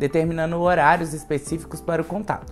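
Fairly quick pace over faint music in the background. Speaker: presenter. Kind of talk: informational explainer. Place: office.

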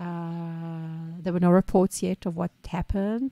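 The recording is dry and close with no echo, carrying a woman's dark, mellow tone. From Israel. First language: Hebrew. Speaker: small business owner, podcast co-host. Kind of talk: casual chat.

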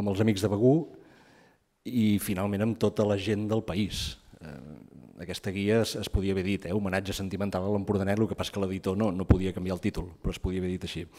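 Over a quiet background, a man talks at a very fast pace in a fairly low voice with a dark, mellow tone. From Empordà, Catalonia (Begur); Catalonia. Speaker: writer and anthropologist. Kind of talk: book presentation talk. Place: hall.

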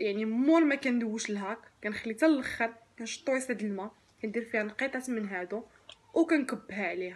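Here a woman speaks with a Moroccan accent. Her pace is fairly quick. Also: fairly high pitch for a woman, ordinary pitch variation. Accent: Moroccan Darija. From Morocco. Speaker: lifestyle vlogger, mother. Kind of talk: product review vlog. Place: home room. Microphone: phone near.

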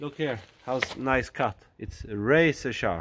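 Speaking slowly, a man with a medium pitch shows ordinary pitch variation and a fairly bright tone.

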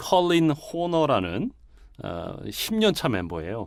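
Very slow speech from a man, captured in a very clean recording with a silent background. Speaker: business networking organization director. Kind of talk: casual chat. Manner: many filler sounds, halting.

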